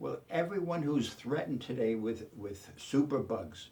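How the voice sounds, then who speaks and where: A man with a dark, mellow, somewhat breathy voice at a medium pitch talks at a fairly slow pace with lively intonation. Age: 80s+. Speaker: chemist and inventor. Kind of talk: pitch interview. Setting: filmed submission video. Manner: halting, many fillers.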